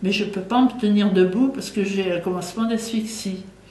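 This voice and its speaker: Amid noticeable background noise and audible room echo, a woman speaks at a medium pitch with fairly even intonation. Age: 80s+. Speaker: war survivor, eyewitness. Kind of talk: interview testimony. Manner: halting, with fillers and repetitions.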